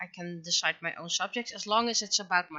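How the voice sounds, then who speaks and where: A woman speaks with a Dutch accent and fairly even intonation. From Netherlands. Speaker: webcomic artist and streamer. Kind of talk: casual livestream chat while drawing. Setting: livestream. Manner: halting, many fillers.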